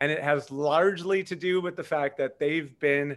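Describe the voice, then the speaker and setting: A man with a plain, everyday voice talks at a moderate pace, his fairly high pitch carried by lively intonation. The recording is very clean, with a silent background. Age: 50s. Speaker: marketing entrepreneur. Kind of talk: podcast interview.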